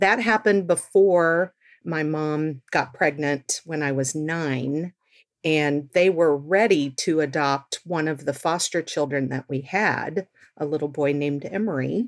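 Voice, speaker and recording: A woman with an American accent and a very deep, low pitch, at a fairly slow pace with ordinary pitch variation, on a very clean recording with a silent background. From Texas. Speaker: birth mother and adoptee. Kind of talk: interview testimony.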